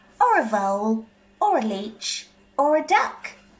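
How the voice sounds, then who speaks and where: A female-sounding, put-on character voice talks at a fairly slow pace. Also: fairly high pitch for a woman. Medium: read story. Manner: exasperated.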